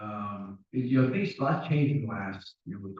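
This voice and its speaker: A man talks at a moderate pace in a medium-pitched voice. His voice is somewhat breathy. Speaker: town council candidate, retired police officer. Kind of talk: candidate speech at a public forum. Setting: town hall forum with audience. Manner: casual, folksy.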